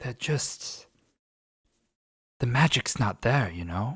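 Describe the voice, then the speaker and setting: Putting on a raspy character voice, a man speaks at medium pitch and a fairly slow pace with lively intonation. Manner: wistful, resigned.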